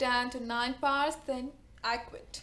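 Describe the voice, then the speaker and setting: A woman speaks at a high pitch with an Indian accent. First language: not English. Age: 20s. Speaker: book vlogger. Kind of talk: casual talk to camera. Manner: nervous.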